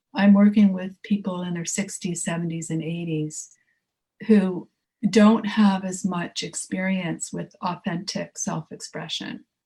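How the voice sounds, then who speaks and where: A woman speaks at a fairly slow pace in a medium pitch, her somewhat breathy voice dark and mellow in tone, with fairly even intonation and big swings in loudness. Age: 60s. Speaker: artist and creativity teacher. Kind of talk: casual chat. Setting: podcast.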